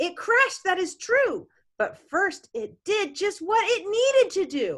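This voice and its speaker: A woman uses a put-on character voice at an extremely high pitch, speaking at a fairly slow pace. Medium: read story. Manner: warm, enthusiastic.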